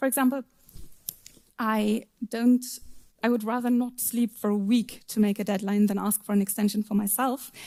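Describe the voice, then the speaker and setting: A woman with a German accent speaks at a moderate pace in a flat monotone, her voice fairly high for a woman, dark and mellow, somewhat breathy, broken by long, frequent pauses. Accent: non-native English speaker, German. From Germany. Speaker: software tester and conference speaker. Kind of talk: conference talk. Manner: occasional stumbles on words.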